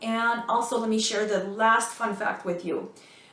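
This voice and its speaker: Speaking with an American accent, a woman uses a fairly high pitch at a moderate pace, with noticeable background noise and audible room echo. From former Soviet Union, raised mostly in the US. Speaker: school administrator and career advice YouTuber. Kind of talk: vlog tutorial. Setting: home office. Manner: casual, conversational.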